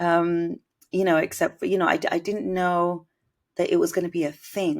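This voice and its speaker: In a British accent, a woman with a fairly low pitch talks at a moderate pace on a very clean recording with a silent background. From Britain, Indian household. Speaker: musician and composer. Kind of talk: interview. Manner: musical, effortless.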